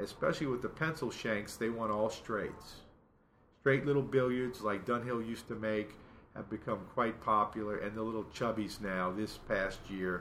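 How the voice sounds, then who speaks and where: A man's medium-pitched voice with a bright, sharp tone, ordinary pitch variation and a moderate pace. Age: 50s. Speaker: pipe importer and seller. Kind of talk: casual interview. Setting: indoors at a friend's house.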